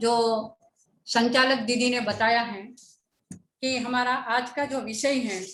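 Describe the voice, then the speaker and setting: A woman's high voice with a Gujarati accent, monotone and flat, with long, frequent pauses and audible room echo. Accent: Gujarati-accented Hindi. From Gujarat, India. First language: Gujarati (speaking Hindi). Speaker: education speaker. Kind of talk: lecture. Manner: formal.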